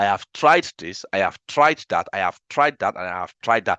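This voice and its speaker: In a dry, close recording with no echo and a quiet background, a man with a Nigerian accent speaks with ordinary pitch variation. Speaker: data analytics trainer. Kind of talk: webinar lecture. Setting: live online webinar. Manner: animated.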